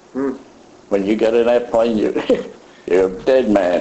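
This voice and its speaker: A man keeps a moderate pace as noticeable background noise continues behind him. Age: 80s+. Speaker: WWII pilot and veteran. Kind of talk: interview answer.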